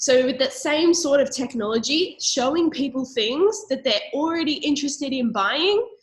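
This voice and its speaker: The speaker has an Australian accent and an animated tone. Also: woman. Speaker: network marketing presenter. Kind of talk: sales pitch.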